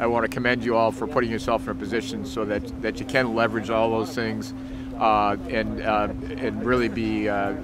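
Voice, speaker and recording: A man talks at a fairly quick pace with music in the background. The sound is dry, with no echo. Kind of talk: interview statement. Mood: appreciative, formal. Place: factory.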